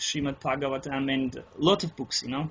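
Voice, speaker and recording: With a non-native accent, a man speaks at a moderate pace in a fairly high pitch with fairly even intonation. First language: not English. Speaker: interviewee on spiritual experience. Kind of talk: interview. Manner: halting, many false starts.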